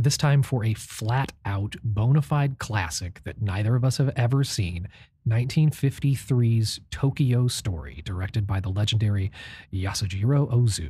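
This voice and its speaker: In a very clean recording with a silent background, a man speaks at a medium pitch in a somewhat breathy voice with a dark, mellow tone. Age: 30s. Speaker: film podcast co-host. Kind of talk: scripted narration; casual chat.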